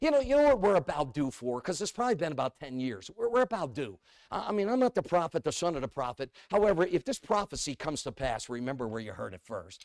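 A man's fairly high voice in a New England accent, very fast with hardly any pauses, very wide pitch swings and an animated tone, the sound dry and close with no echo. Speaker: evangelist preacher. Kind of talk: sermon.

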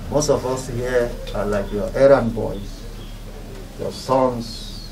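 Over noticeable background noise, a man talks very slowly at a medium pitch. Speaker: clergyman, commission executive secretary. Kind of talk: speech at condolence visit.

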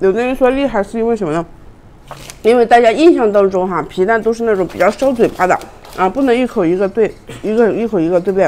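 At a very fast pace, a woman speaks in a fairly high pitch with ordinary pitch variation. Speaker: livestream food seller and mukbang host. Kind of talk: rapid-fire livestream sales pitch hawking snacks between bites, pushing price cuts. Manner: fast, pushy pitchman patter repeating prices and slogans; chummy and coaxing, constantly calling viewers babies. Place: home room. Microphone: lapel.

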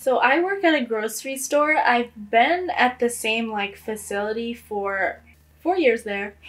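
A woman with an American accent has a high pitch and lively intonation. She talks at a fairly slow pace. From New York City, the Bronx. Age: 20s. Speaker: college student. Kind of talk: interview testimony. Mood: reflective, somewhat sad. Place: home room.

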